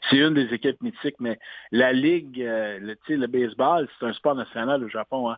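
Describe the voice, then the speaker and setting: This is an ordinary speaking voice, with ordinary pitch variation at a moderate pace. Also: man, medium pitch for a man. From Quebec. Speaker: sports announcer. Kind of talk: interview. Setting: phone call.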